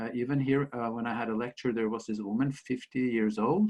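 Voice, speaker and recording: A man with a Norwegian accent speaks at a moderate pace and a medium pitch. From Norway. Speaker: author and school principal. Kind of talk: interview storytelling. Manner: halting.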